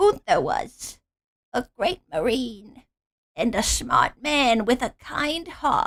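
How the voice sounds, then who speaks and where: A woman uses a put-on character voice pitched high. She goes at a very slow pace with very wide pitch swings. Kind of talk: put-on granny voice. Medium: read story. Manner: warm, motherly, calls others dear.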